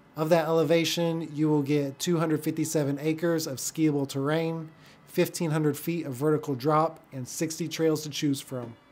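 The man's voice sits fairly high in pitch. He speaks at a fairly slow pace with monotone, flat intonation. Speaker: real estate agent and video creator. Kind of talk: casual vlog narration. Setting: outdoors at a ski resort. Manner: rambling, informal.

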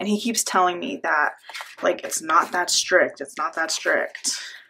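A woman's voice with ordinary pitch variation. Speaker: planner hobby vlogger. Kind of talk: casual vlog chat.

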